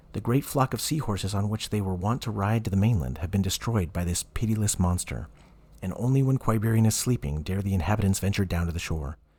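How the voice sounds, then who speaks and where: A dark, mellow, somewhat breathy tone at a very fast pace. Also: man. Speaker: voice actor. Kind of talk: audiobook reading.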